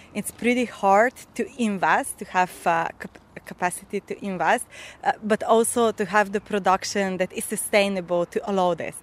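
With a Slovenian accent, a woman speaks at a moderate pace and medium pitch, her intonation fairly even, in a dry, close sound with no echo. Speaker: farmer. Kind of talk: interview.

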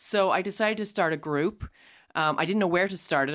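With an American accent and fairly low pitch, a woman speaks with lively intonation in an unremarkable speaking voice, heard in a very clean recording with a silent background. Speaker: writer and podcaster. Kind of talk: interview.

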